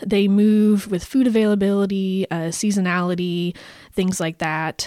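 A plain, everyday voice from a woman at medium pitch and moderate pace. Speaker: podcast co-host presenting research on painted dogs. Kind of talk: casual chat.

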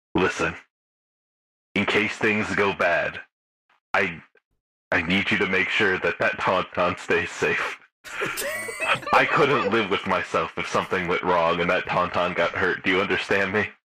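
A man puts on a robotic character voice at a fairly low pitch and a moderate pace. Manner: slick, pushy, crude.

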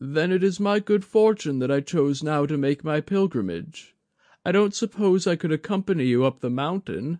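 Against a quiet background, a man puts on a character voice pitched fairly high. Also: moderate pace. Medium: read story. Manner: measured, courteous, self-deprecating.

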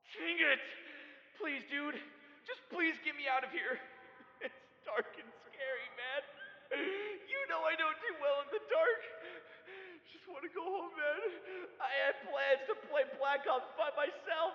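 Putting on a whiny character voice with an extremely high pitch, a man speaks at a fairly slow pace with long, frequent pauses and a slight echo. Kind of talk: comedy skit voicemail. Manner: slangy, whiny, increasingly desperate.

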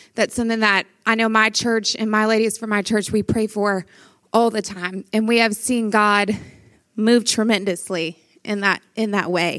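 In a Louisiana accent, a woman speaks at a fairly high pitch and a moderate pace with monotone, flat intonation, on a very clean recording with a silent background. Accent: Southern US (Louisiana). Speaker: pastor. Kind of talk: conference talk.

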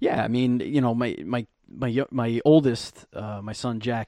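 A man with a New York accent speaks at a medium pitch. His tone is dark and mellow, and his intonation stays fairly even. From Brooklyn, New York. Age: 30s. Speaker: actor and podcaster. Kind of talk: casual chat.

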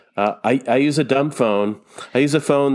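A man with fairly even intonation. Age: 50s. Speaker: author and painter. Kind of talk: casual interview chat. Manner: halting, many repetitions and fillers.

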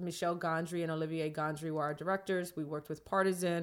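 A woman with a New York accent speaks at a fairly low pitch with fairly even intonation on a very clean recording with a silent background. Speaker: film director and producer. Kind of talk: casual interview. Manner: talkative.

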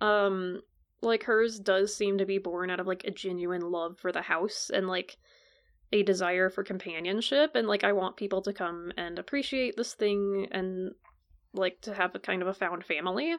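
A woman's normal speaking voice at medium pitch, with fairly even intonation and a moderate pace. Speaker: podcast host. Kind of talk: casual chat.

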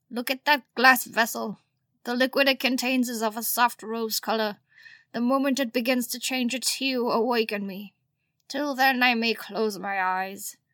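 In a very clean recording with a silent background, a female-sounding put-on character voice speaks at a moderate pace with a high pitch. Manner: commanding yet weary.

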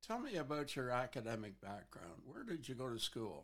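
At a fairly slow pace, a man with a medium pitch speaks with lively intonation. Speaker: podcast host. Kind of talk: interview.

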